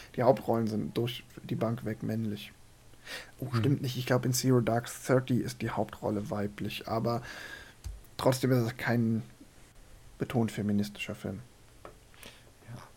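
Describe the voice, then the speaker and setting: Long pauses break up the speech frequently. Overall the delivery is fairly slow. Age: 40s. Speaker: film podcast host. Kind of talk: casual chat.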